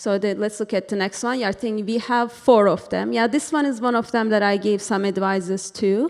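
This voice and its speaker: The speaker has a Turkish accent and ordinary pitch variation. The pace is moderate. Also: woman. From Turkey. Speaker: interior designer. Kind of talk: presentation. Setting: board meeting with microphone. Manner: casual, hesitant with fillers.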